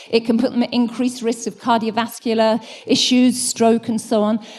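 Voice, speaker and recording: A woman speaks at a moderate pace in a fairly high pitch. Her voice is somewhat breathy. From United Kingdom. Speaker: design school director, conference speaker. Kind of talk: conference talk.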